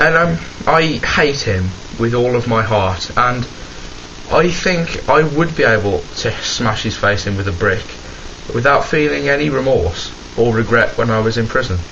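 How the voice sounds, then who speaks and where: With noticeable background noise and audible room echo, a man of medium pitch talks at a moderate pace with lively intonation and long, frequent pauses. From West Midlands, England (Birmingham). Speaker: vlogger. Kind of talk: casual rant to camera. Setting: home, camera in wardrobe. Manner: animated.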